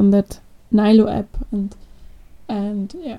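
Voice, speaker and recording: At a fairly slow pace, a woman speaks with a fairly high pitch, a dark, mellow tone and a somewhat breathy quality. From Austria. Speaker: product manager. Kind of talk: casual interview.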